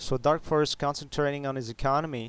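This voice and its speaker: A man talks in a French Canadian accent at a fairly slow pace, his intonation monotone and flat. The recording is very clean, with a silent background. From Quebec. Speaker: game commentator. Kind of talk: live game commentary. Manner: halting, many fillers.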